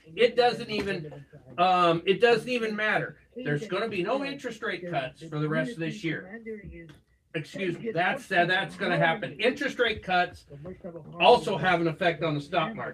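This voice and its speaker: Noticeable background noise runs beneath speech delivered at a moderate speed. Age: 60s. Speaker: finance commentator. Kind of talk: live show discussion. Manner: halting.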